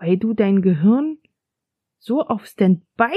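Very slow and somewhat breathy, a woman with a medium pitch speaks in a dark, mellow tone with lively intonation, the sound dry and close with no echo. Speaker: podcast host. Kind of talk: casual monologue. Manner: conversational.

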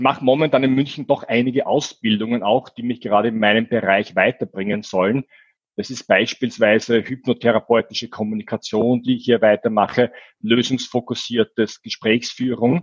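An ordinary speaking voice at a moderate pace, with fairly even intonation, big swings in loudness and a dry, close sound with no echo. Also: man, medium pitch for a man. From Austria, Vienna. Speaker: business coach. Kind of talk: interview.

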